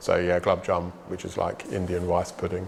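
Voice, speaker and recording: A man speaks at a fairly quick pace while noticeable background noise carries on. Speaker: British expat interviewee. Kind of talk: interview. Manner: fast; casual.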